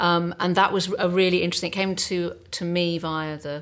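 This is a very clean recording with a silent background. A woman with an unremarkable speaking voice talks at a fairly low pitch with fairly even intonation. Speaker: casting director. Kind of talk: panel discussion.

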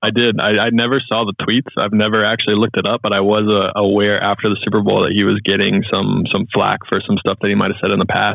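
Speaking very fast with hardly any pauses, a man with an American accent holds a fairly low pitch, monotone and flat in intonation, with vocal fry and very even loudness. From US South, Charlotte, North Carolina. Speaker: pilot and podcast host. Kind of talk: casual chat. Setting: call.

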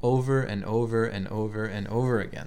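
In an American accent, the speaker talks at a fairly slow pace with monotone, flat intonation and audible room echo. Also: man. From Albany, New York. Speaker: podcast host. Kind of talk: interview; scripted narration. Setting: temple.

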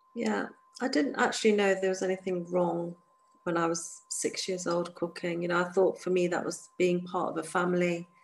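With a southern English accent, a woman speaks at a moderate pace and a fairly low pitch. Her intonation is fairly even. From England, near London. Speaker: activist against honor killings. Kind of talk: interview testimony.

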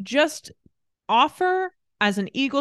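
The sound is dry and close, with no echo. A woman speaks at a very slow pace. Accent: American. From Indiana, US Midwest (Greenfield). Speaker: podcast co-host, graphic designer. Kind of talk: casual chat.

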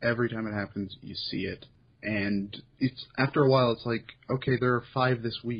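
A man speaks at a moderate pace and medium pitch. His voice is somewhat breathy, with fairly even intonation. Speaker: podcast host and site curator. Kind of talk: casual chat.

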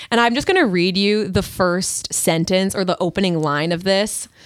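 The recording is very clean with a silent background. A woman speaks in a normal speaking voice at medium pitch, with ordinary pitch variation. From Long Island, New York. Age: 20s. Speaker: comedian. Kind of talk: casual chat.

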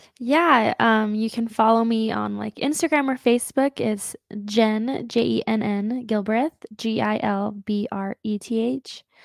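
In a plain, everyday voice, the speaker goes at a fairly slow pace with hardly any pauses and ordinary pitch variation, the sound dry and close with no echo. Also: woman, fairly high pitch for a woman. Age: 20s. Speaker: psychic medium. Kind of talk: casual interview chat; psychic reading.

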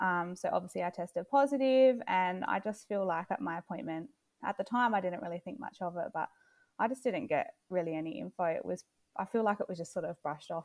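Heard with a dry, close sound with no echo, a woman with an unremarkable speaking voice talks at a medium pitch with lively intonation. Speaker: mother sharing her child's illness story. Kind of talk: personal testimony in interview.

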